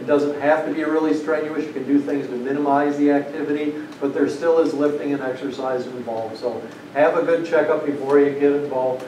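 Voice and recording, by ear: Amid audible room echo, a man speaks at a fairly quick pace with a fairly high pitch, a dark, mellow tone and fairly even intonation. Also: few pauses.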